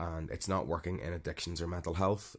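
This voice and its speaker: A man with a Northern Irish accent, very deep and low in pitch, with fairly even intonation on a very clean recording with a silent background. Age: 30s. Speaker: podcaster on mental health. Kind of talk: personal monologue. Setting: home recording. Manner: hesitant, many fillers.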